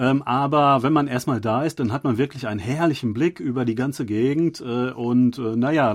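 Speaking at medium pitch, a man shows ordinary pitch variation. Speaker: podcast host. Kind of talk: casual chat. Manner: halting, many filler sounds.

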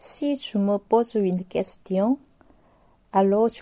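A very slow delivery in a dark, mellow tone with a Korean accent. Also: woman. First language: Korean (speaking French). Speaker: novelist and university lecturer. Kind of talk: interview. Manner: halting.

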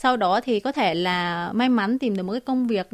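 On a very clean recording with a silent background, a woman with a fairly high pitch talks at a moderate pace, her pitch swinging very widely. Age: 20s. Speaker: TikTok cooking creator. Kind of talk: radio interview. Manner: halting, frequent fillers.

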